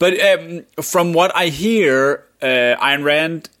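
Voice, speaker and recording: A man speaks with a Danish accent on a very clean recording with a silent background. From Denmark. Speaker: podcast co-host. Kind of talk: casual chat.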